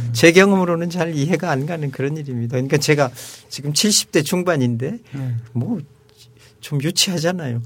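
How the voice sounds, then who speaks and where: Noticeable background noise sits behind a man with a fairly high voice. He uses ordinary pitch variation and leaves long, frequent pauses. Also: moderate pace. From Seoul, South Korea. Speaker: retired diplomat and professor. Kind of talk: casual chat.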